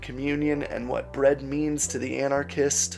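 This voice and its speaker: A man at a fairly slow pace over faint background music. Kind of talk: sermon. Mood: earnest, vulnerable. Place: home room. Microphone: studio mic.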